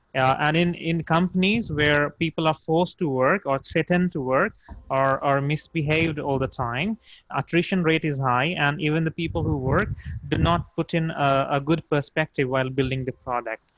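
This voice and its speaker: A man with a non-native accent, fairly high pitch, ordinary pitch variation and a moderate pace. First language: not English. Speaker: startup founder. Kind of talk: video call workshop introduction. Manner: halting, many fillers.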